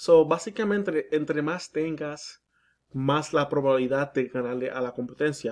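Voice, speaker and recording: The background is quiet as a man talks. His voice is fairly high-pitched with ordinary pitch variation. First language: English (speaking Spanish). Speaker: digital marketing consultant. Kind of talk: sales pitch. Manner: halting.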